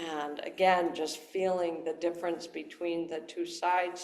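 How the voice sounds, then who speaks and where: A woman's fairly low voice with an American accent, at a fairly slow pace. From Wisconsin. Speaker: self-massage instructor.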